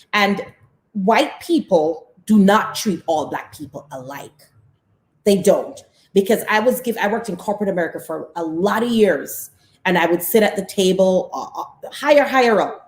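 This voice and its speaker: A woman with a Caribbean accent speaks at a moderate pace and a medium pitch, sounding somewhat breathy. Her tone is animated, with lively intonation and big swings in loudness. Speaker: talk show co-host. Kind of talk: casual discussion.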